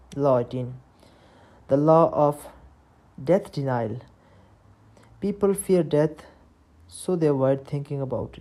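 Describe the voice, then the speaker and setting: Using a dark, mellow tone, a woman with a non-native accent speaks at a moderate pace, her very deep, low voice showing ordinary pitch variation. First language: not English. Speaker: book summary narrator. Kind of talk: reading aloud. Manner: halting.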